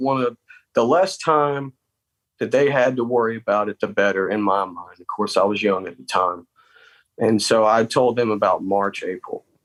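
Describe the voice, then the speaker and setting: A man with a Southern US accent talks at a moderate pace and with ordinary pitch variation. The sound is dry and close, with no echo. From South Carolina. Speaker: army veteran. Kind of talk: interview. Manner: halting.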